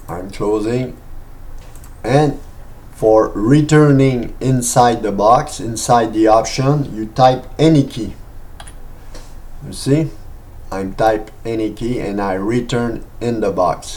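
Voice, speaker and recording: A man with a Quebec accent speaks at a very slow pace and medium pitch, with ordinary pitch variation, big swings in loudness, long and frequent pauses, and audible room echo. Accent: French Canadian accent in English. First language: French. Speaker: software tutorial maker. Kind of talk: tutorial. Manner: halting, many fillers.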